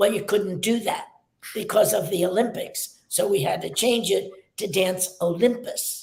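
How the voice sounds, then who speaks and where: The room echo can be heard clearly. Through it, a woman talks at a fairly slow tempo. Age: 90s. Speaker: dance teacher, studio founder. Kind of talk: interview.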